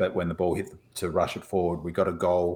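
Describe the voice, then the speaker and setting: A man with an Australian accent and a very deep, low pitch talks at a moderate pace. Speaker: podcast co-host. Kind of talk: casual chat.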